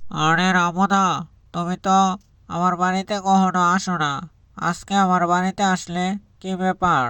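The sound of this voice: This man performs a cartoonish character voice, raised and projected at a high pitch. He moves at a fairly slow pace with monotone, flat intonation.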